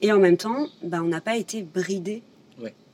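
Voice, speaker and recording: Fairly slowly and with ordinary variation in pitch, a woman talks. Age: 30s. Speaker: visual artist. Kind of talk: casual chat.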